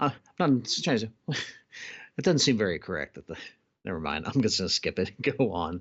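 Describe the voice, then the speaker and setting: The speech moves at a fairly quick pace with very wide pitch swings. Long pauses come often. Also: man, fairly low pitch for a man. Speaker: board game channel host. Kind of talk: casual chat while playing a board game. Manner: mumbling at times.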